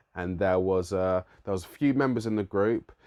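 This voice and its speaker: A man's very deep, low voice in a London accent, over a quiet background. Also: dry, close sound with no echo. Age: 30s. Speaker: musician and youth worker. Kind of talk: vlog monologue.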